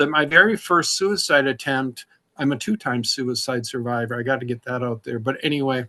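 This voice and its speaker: With a bright, sharp tone, a man speaks at a medium pitch and a fairly quick pace, with ordinary pitch variation. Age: 60s. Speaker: recovering alcoholic, memoir author. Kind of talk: interview testimony.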